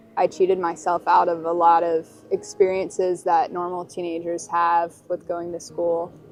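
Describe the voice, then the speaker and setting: A woman's monotone, flat intonation with music in the background. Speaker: documentary interviewee, person in addiction recovery. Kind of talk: personal testimony. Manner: hesitant, with many fillers.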